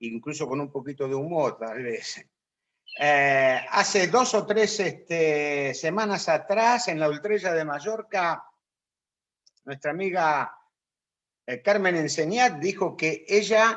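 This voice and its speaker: A high-pitched man's voice with lively intonation at a very slow pace. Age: 60s. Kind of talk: talk to a religious group.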